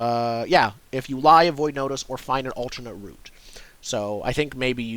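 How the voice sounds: This is a natural reading voice. It is used throughout the clip.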